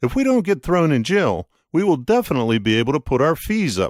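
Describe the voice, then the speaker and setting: A man puts on a character voice, pitched fairly high. He moves at a fairly quick pace with very wide pitch swings. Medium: read story.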